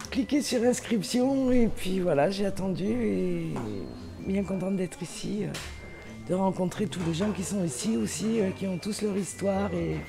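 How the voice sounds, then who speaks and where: Over music in the background, a woman talks very slowly at a medium pitch. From Limousin, France. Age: 60s. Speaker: retreat participant. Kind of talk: interview testimony.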